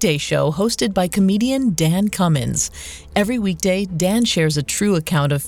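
Lively intonation in plain reading aloud

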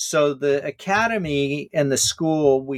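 A man's ordinary speaking voice with an American accent, fairly high in pitch with lively intonation, at a fairly slow pace, in a dry, close sound with no echo. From Hawaii and California. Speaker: author and scholar. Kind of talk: interview.

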